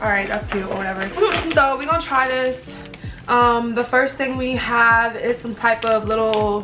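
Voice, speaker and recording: The intonation is fairly even as a woman talks at a moderate pace. Music plays clearly in the background. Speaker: vlogger. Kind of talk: casual vlog chat. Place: home room. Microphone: camera far.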